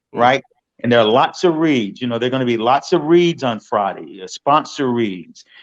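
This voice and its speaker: This man has a plain, everyday voice, pitched in the medium range, with lively intonation and a moderate pace. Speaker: stadium public address announcer. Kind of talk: interview answer.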